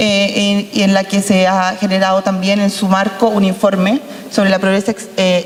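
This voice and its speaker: A woman talks at a medium pitch. Noticeable background noise runs behind her. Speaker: lawyer, panel expert. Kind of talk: panel talk. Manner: fast.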